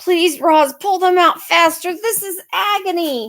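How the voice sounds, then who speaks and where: Putting on a character voice, a woman sounds strained, speaking at a fairly slow pace in an extremely high pitch. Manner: pleading, pained.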